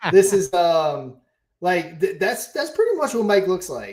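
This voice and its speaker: A man's high-pitched voice, fairly slow in pace, with lively intonation. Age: 40s. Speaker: crypto project host. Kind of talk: casual live stream chat.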